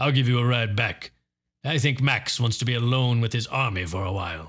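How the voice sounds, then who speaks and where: Putting on a raspy character voice at a medium pitch, a man speaks at a fairly quick pace in a very clean recording with a silent background. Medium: read story. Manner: measured, composed.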